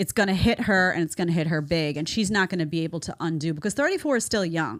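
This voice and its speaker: In a strong New York accent, a woman talks very fast at a medium pitch with an animated tone and lively intonation, in a very clean recording with a silent background. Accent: thick New York. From New York City. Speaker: online show host, commentator. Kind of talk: reaction commentary livestream.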